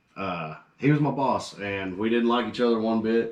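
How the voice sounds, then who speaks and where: A man speaks with an American accent. His pitch is medium, with ordinary variation. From US Midwest, Danville, Illinois. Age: 20s. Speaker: rock band lead singer. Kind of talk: casual chat.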